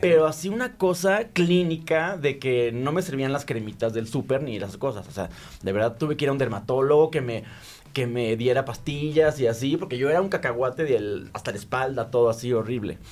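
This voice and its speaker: A man at a fairly quick pace with lively intonation, music in the background. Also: medium pitch for a man. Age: 40s. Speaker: content creator. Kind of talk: casual chat.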